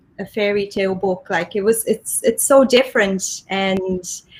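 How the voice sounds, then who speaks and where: A woman speaks at a medium pitch with a Portuguese accent. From Brazil. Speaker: solutions engineer. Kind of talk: casual panel conversation.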